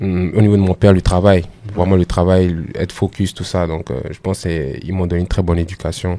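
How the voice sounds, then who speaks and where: Very deep and low in pitch, a man speaks at a fairly quick pace in a dark, mellow tone with fairly even intonation. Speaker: musician and former web comedian. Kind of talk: podcast interview. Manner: halting, many hesitations.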